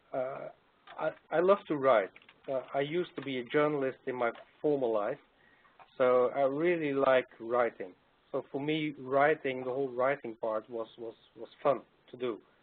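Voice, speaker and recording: With a non-native accent, a man talks at a moderate pace and a fairly high pitch, using ordinary pitch variation and long, frequent pauses. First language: not English. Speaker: doctoral graduate and consultant. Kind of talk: webcast panel Q&A. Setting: online webcast. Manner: hesitant, many fillers and repetitions.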